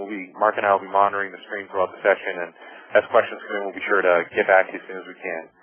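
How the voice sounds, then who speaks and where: Noticeable background noise around a fairly low-pitched male voice. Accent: American. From US Northeast, Boston. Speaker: marketing executive, webinar presenter. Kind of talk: webinar presentation. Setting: webinar over phone line. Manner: fast; animated.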